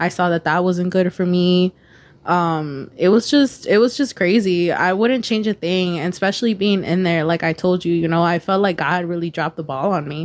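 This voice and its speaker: A woman speaks at a moderate pace in an unremarkable speaking voice, pitched fairly low. The recording is very clean, with a silent background. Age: 20s. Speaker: podcaster. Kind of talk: casual chat.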